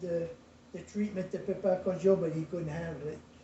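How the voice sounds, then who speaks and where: A man with a Cajun accent speaks slowly-ish at a high pitch in a monotone, flat delivery, at a fairly slow pace. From US South, rural Lafourche Parish, Louisiana. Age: 80s+. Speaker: retired shrimper and craftsman. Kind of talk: family interview storytelling.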